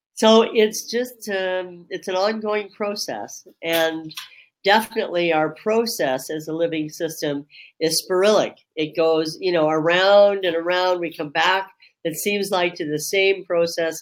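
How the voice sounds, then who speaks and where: This woman has a fairly low pitch and ordinary pitch variation. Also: fairly slow pace. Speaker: reiki grandmaster. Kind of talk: webinar discussion. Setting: online webinar.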